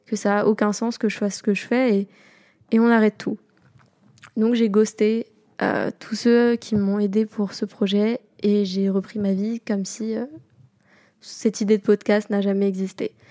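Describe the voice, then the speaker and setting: Her fairly high voice has a dark, mellow tone and flat, monotone intonation, and the woman speaks at a fairly slow pace with long, frequent pauses in a dry, close sound with no echo. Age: 20s. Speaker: podcast host. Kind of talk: casual solo monologue.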